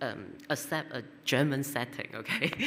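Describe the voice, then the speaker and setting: A woman speaks in a Cantonese accent at a very deep, low pitch. Noticeable background noise runs underneath. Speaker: poet. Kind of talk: poetry reading introduction. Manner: halting.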